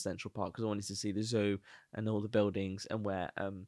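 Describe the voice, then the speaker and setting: A man with a Brummie accent and fairly low pitch, fairly quick delivery, dry, close sound with no echo, and a quiet background. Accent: Birmingham (Brummie) twang. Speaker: podcast co-host, freelancer. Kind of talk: casual chat.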